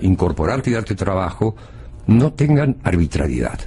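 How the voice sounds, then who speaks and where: A man with an Argentine accent, fairly low in pitch, swinging very widely in pitch at a moderate pace, over noticeable background noise. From Argentina, Buenos Aires. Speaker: former foreign minister, political analyst. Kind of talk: TV panel discussion. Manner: hesitant, many fillers.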